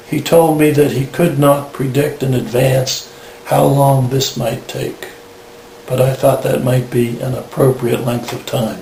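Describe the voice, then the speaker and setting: Amid noticeable background noise and audible room echo, a man speaks fairly slowly at a medium pitch with fairly even intonation. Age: 60s. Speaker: patient sharing experience. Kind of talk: testimony. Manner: formal.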